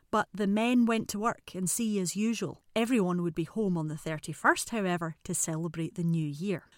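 This woman speaks with an Edinburgh accent at a fairly quick pace, her pitch medium with ordinary variation. The recording is very clean, the background silent. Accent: Scottish (Edinburgh). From Scotland, Edinburgh. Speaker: podcast host. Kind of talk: scripted narration.

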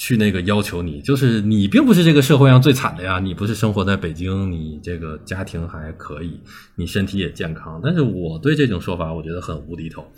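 The voice is somewhat breathy, with lively intonation, big swings in loudness and hardly any pauses. Room echo is audible. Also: man, very deep, low pitch for a man, fairly quick pace. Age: 30s. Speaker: online video creator. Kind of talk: casual interview.

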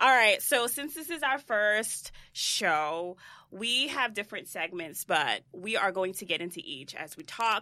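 A woman's bright, sharp tone moves through very wide pitch swings. The recording is very clean, with a silent background. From Haitian heritage. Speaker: podcast co-host and beauty entrepreneur. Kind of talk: casual chat. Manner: animated.

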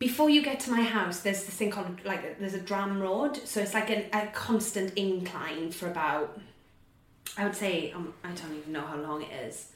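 With a Welsh accent, a woman talks with lively intonation and big swings in loudness. Noticeable background noise is present. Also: medium pitch for a woman, moderate pace. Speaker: actor. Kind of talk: casual interview chat.

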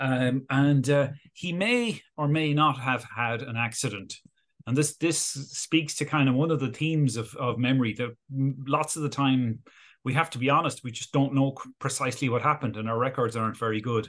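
A man with an Irish accent speaks at a moderate pace and medium pitch over a quiet background. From Galway, west of Ireland. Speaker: neuroscience professor. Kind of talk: interview. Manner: hesitant, many fillers.

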